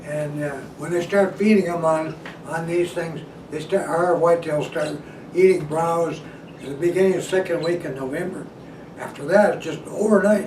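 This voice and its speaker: Here a man talks at a moderate pace with a high pitch. Background noise is noticeable. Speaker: deer hunting instructor. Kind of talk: casual instructional talk to camera.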